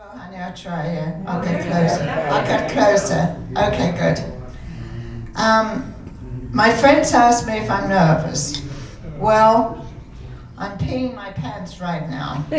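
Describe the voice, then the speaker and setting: A quiet woman with an American accent speaks at medium pitch with lively intonation, very slowly and with long, frequent pauses. Her loudness swings widely, with audible room echo and noticeable background noise around her. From England, London. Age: 80s+. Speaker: amateur comedian. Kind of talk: stand-up. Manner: too quiet at first. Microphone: far from the mic at first.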